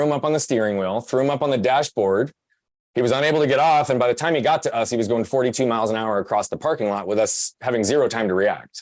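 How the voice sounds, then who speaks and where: A man with an American accent, talking at a very fast pace. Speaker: podcast guest, personal growth speaker. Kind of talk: interview testimony.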